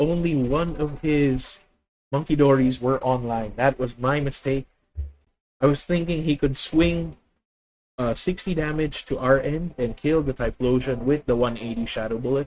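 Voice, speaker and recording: Speaking at a fairly slow pace, a man with a Filipino accent uses a fairly high pitch and ordinary pitch variation. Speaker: gaming streamer. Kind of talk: live gameplay commentary. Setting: live stream.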